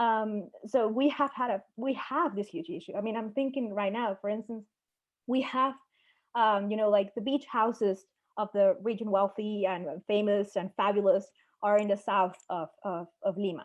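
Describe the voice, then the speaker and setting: Here is a woman with a Spanish accent. Her pitch is fairly high. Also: ordinary pitch variation, moderate pace. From Peru. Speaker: national security analyst. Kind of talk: panel discussion.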